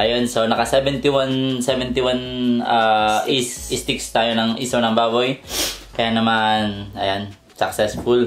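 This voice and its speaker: With music in the background, a man speaks at a fairly slow pace in a monotone, flat intonation. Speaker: mukbang vlogger. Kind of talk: casual vlog chat. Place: home room.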